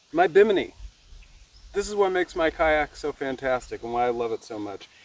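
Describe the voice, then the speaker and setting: The speaker has an American accent and a moderate pace. Noticeable background noise can be heard. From Nevada. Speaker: vlogger. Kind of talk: casual vlog narration. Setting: outdoors on a kayak.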